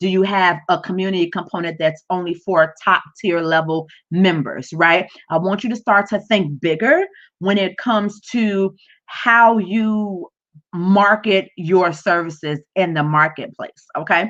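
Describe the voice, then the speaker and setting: A woman speaks in a plain, everyday voice at a fairly slow pace. Her pitch varies in an ordinary way. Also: medium pitch for a woman. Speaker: business coach livestreamer. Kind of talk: live stream tutorial. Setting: livestream from home.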